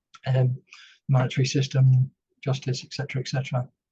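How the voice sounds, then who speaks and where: A man with a British accent speaks at a fairly quick pace and medium pitch, his dark, mellow tone somewhat breathy, in a dry, close sound with no echo. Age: 60s. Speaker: retired army veteran and former company director. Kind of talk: podcast interview. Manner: hesitant, many fillers.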